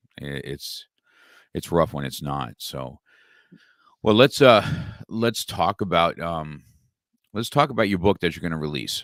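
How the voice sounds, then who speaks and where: With long, frequent pauses and big swings in loudness, a man speaks in a very deep, low voice with vocal fry and lively intonation, recorded very cleanly against a silent background in a dry, close sound with no echo. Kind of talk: podcast host talk.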